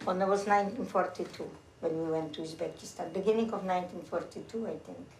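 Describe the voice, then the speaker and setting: Talking very fast, a woman at medium pitch keeps fairly even intonation while her loudness swings widely, with noticeable background noise and audible room echo. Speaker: war refugee survivor. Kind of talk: casual chat.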